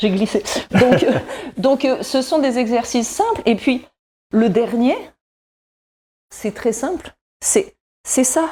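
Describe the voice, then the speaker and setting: Speaking very slowly with long, frequent pauses, a woman uses a high pitch and lively intonation. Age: 60s. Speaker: wellness columnist. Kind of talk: exercise demonstration tutorial.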